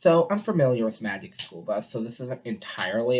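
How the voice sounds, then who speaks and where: Soft-spoken delivery at a moderate pace. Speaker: reaction video creator. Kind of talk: casual reaction commentary. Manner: soft-spoken, quiet; hesitant, many fillers. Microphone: poor-quality webcam.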